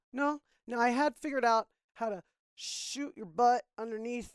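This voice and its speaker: With an American accent, a woman speaks in a high pitch at a moderate pace, her pitch varying in an ordinary way. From Florida. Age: 40s. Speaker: podcast guest. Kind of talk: casual chat.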